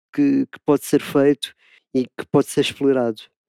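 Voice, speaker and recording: In a dry, close sound with no echo, a man speaks at a moderate pace with a fairly high pitch and a dark, mellow tone. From Portugal, Lisbon. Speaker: DJ and music producer. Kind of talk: interview monologue. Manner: halting, many repetitions and fillers.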